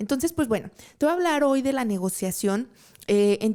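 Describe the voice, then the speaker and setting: A woman speaks in a dark, mellow tone with ordinary pitch variation. The recording is very clean, with a silent background. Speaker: podcast host and trade consultant. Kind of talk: live talk show monologue. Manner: casual, with frequent fillers.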